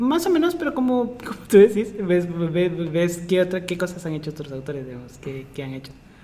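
A man speaks at a high pitch with lively intonation and big swings in loudness. Noticeable background noise is present. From Guatemala. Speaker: pharmaceutical chemist and data scientist, lecturer. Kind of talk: casual interview.

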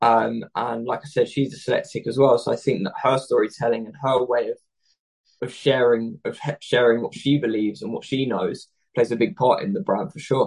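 A man talks at a fairly quick pace. His loudness swings widely. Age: 20s. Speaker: fashion entrepreneur. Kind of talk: interview.

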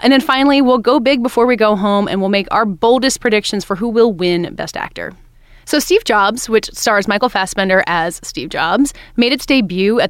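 An unremarkable speaking voice from a woman at medium pitch, fairly quick and lively in intonation, in a very clean recording with a silent background. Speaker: podcast host and entertainment editor. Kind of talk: casual interview and chat. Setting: studio.

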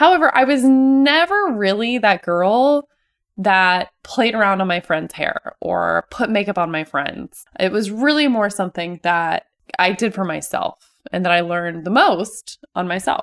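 With very wide pitch swings, a woman talks at a fairly slow pace. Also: medium pitch for a woman, dry, close sound with no echo. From Ohio and California, US. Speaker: hairstylist podcast host. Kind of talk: personal monologue.

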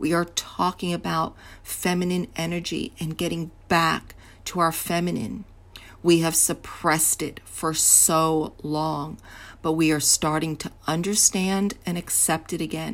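This woman has an unremarkable speaking voice with a fairly low pitch and fairly even intonation. She talks at a fairly slow pace in a very clean recording with a silent background. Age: 60s. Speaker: podcast host, confidence coach. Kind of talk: solo podcast monologue.

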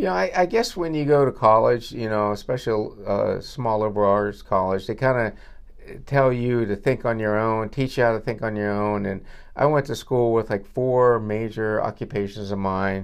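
This man has an unremarkable speaking voice, medium in pitch, at a moderate pace. The background is quiet. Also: ordinary pitch variation. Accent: American. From northwestern Pennsylvania, US. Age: 60s. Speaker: dentist. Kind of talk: casual interview. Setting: dental office reception room.

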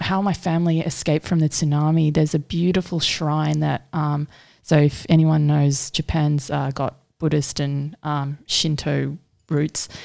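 In an Australian accent, a woman with a very deep, low pitch and a dark, mellow tone speaks at a fairly slow pace with fairly even intonation on a very clean recording with a silent background. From Sydney, Australia. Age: 20s. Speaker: artist. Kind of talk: casual chat.

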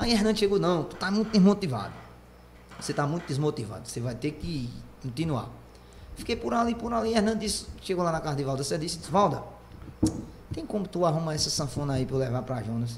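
Recorded with audible room echo, a man with a fairly high pitch talks at a very fast pace, his pitch swinging very widely, with long, frequent pauses. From Pernambuco agreste, Brazil. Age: 20s. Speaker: accordionist and singer. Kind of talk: casual chat.

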